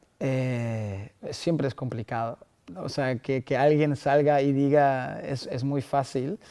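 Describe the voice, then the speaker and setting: With a non-native accent, a man talks very slowly in a medium-pitched voice with a dark, mellow tone. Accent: foreign accent in Spanish. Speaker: startup founder. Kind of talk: podcast interview answer. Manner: enthusiastic.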